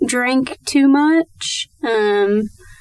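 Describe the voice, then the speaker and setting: Through noticeable background noise, a woman talks with ordinary pitch variation. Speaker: interview guest sharing recovery story. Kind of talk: testimony. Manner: halting, many fillers.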